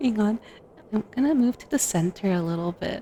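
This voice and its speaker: A soft-spoken woman of medium pitch, lively in intonation, at a moderate pace. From Costa Rica. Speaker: vtuber ASMR streamer. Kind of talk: ASMR livestream chat. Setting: livestream.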